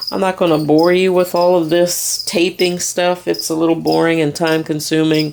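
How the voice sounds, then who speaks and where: Over noticeable background noise, a woman speaks at a moderate pace in a very deep, low pitch. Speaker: DIY crafts youtuber. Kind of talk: tutorial. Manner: casual.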